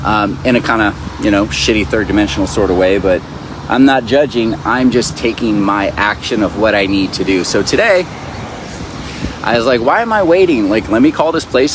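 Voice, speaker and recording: With noticeable background noise behind him, a man talks at a fairly quick pace, medium in pitch, with ordinary pitch variation. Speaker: spiritual teacher. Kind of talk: casual vlog monologue. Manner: fast; animated.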